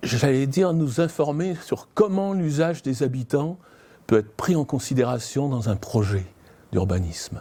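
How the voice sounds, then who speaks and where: On a very clean recording with a silent background, a man speaks at a fairly slow pace and fairly high pitch in a dark, mellow tone, with very wide pitch swings. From southern France. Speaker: citizen council member. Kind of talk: interview testimony.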